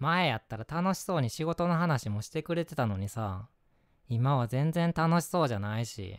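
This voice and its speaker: A man's lively intonation comes through a dry, close sound with no echo. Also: very clean recording, silent background. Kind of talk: scripted ASMR role-play, acting a worried boyfriend. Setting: home-recorded ASMR video. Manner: heated, scolding, irritated and worried, rapid Kansai-dialect nagging; turns gentle, apologetic and soft after the outburst.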